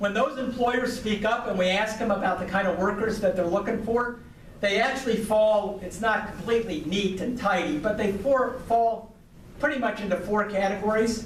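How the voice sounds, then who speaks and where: Noticeable background noise and audible room echo surround a man's high-pitched voice. He speaks at a moderate pace. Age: 60s. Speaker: business association speaker. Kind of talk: speech to a club audience. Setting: podium at club meeting. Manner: hesitant with frequent fillers.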